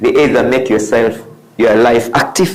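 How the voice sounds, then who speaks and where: Audible room echo surrounds a man as he speaks. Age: 60s. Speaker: motivational speaker. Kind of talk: motivational talk. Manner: repetitive, emphatic.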